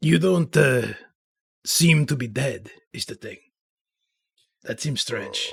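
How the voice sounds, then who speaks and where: In a raspy, put-on character voice, the speaker goes at a fairly slow pace with long, frequent pauses. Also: man, fairly high pitch for a man. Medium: actual play.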